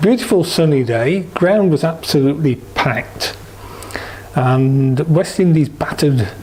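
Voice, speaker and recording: A man's fairly high, lively voice at a fairly slow pace, over noticeable background noise. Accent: East Midlands. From England, East Midlands (Derby). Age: 60s. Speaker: cricket supporter. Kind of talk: oral history interview.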